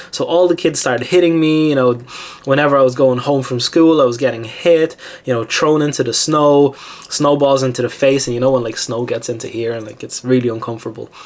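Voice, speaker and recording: With a Lithuanian accent, a man speaks in an animated tone at a fairly quick pace and fairly high pitch, against noticeable background noise. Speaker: self-help YouTuber. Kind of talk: personal testimony. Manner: animated, with many fillers.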